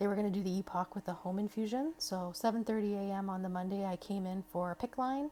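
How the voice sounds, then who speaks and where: Woman's medium-pitched voice, dark, mellow tone, ordinary pitch variation and fairly quick pace. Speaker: cancer patient vlogger. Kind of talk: personal testimony vlog. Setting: hospital. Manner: casual, conversational with fillers.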